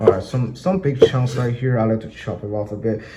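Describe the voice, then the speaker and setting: Background noise is noticeable here. Over it comes a man's voice. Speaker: home cook. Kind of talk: cooking tutorial to camera. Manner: hesitant, many filler words.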